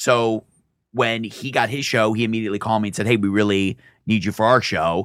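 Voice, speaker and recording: In a very clean recording with a silent background, a man with an American accent speaks fairly quickly in a plain, everyday voice with fairly even intonation. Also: fairly low pitch for a man. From Michigan, US. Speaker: comedian. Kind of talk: casual chat. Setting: studio.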